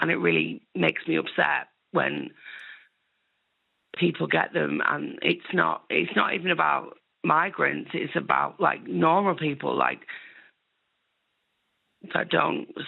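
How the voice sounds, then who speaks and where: Using a raspy, put-on character voice, a woman speaks at a fairly slow pace. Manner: distressed, struggling.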